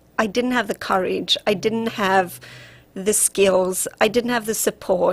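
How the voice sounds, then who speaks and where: Speaking at a fairly slow pace with a South African accent, a woman keeps a fairly high pitch, fairly even intonation and very even loudness. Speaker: relationship coach. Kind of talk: radio interview.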